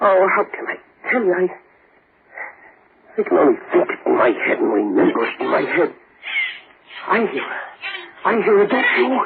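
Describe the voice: Putting on a character voice, a man speaks at a high pitch with a husky, rough edge and vocal fry, big pitch swings, a moderate pace and long, frequent pauses.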